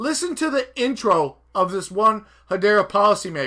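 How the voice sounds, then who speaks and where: A man's high, raised and projected voice, bright and sharp in tone, with very wide pitch swings. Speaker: crypto YouTuber. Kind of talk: casual commentary over replayed clip. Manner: fast; animated.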